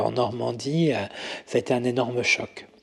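A man talks at a fairly slow pace and medium pitch with fairly even intonation. Noticeable background noise sits behind him. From Paris region, France. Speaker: makeup artist. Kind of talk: interview conversation. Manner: hesitant, many fillers.

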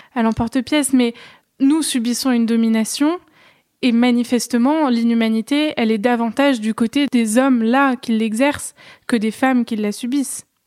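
The woman's voice is fairly high in pitch yet dark and mellow in tone, with fairly even intonation. The sound is dry and close, with no echo. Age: 20s. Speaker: podcast host, philosophy student. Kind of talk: interview.

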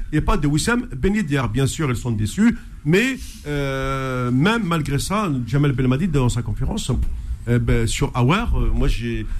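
A man talks fairly slowly, and audible room echo can be heard around his voice. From Algeria. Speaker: sports radio host. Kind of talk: radio sports talk show.

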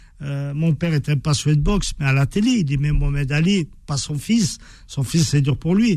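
Somewhat breathy and dark, mellow in tone, a man's voice sits at a fairly high pitch with ordinary pitch variation as he talks at a moderate pace. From France. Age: 50s. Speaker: author and former boxer. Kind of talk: radio interview. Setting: radio studio. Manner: halting, frequent repetitions.

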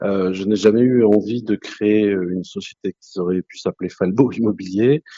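A man's fairly low-pitched voice at a moderate pace, with hardly any pauses, fairly even intonation and big swings in loudness. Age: 50s. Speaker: real estate franchisee. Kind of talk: interview. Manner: hesitant, many fillers.

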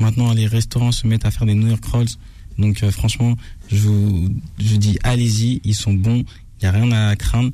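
A dark, mellow, somewhat breathy tone with monotone, flat intonation, very even loudness and a moderate pace. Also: man, fairly low pitch for a man. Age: old. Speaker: food influencer. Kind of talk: restaurant review.

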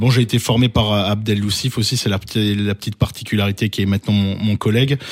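A man speaks in a fairly low voice. His intonation is flat and monotone. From Alsace, France. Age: 30s. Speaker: basketball youth coach. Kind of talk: interview.

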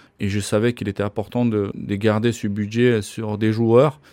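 A man talks at a very slow pace. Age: 50s. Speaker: ice hockey coach. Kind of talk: interview. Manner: halting.

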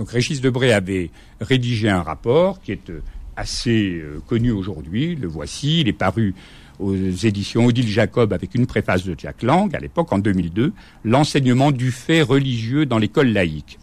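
At a fairly slow pace, a man with a medium pitch speaks with very wide pitch swings. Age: 60s. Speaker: former teacher and school inspector. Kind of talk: radio interview.

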